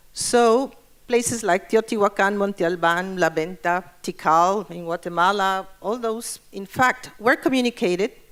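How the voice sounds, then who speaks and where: A woman with a Spanish accent at medium pitch, fairly slow, with ordinary pitch variation and big swings in loudness. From Mexico. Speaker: urban planning expert. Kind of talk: conference presentation.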